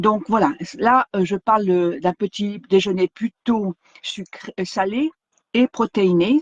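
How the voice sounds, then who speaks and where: The sound is dry and close, with no echo. A woman at medium pitch speaks very slowly with ordinary pitch variation. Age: 60s. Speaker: wellness vlogger. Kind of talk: live stream talk. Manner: halting, many fillers.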